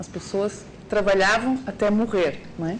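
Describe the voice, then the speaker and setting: Audible room echo together with noticeable background noise. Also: woman. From Portugal. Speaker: university lecturer. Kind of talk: lecture.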